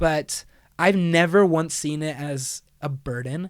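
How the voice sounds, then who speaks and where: The recording is very clean, with a silent background. A man speaks with a fairly high pitch and a monotone, flat intonation. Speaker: college a cappella singer. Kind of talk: casual chat.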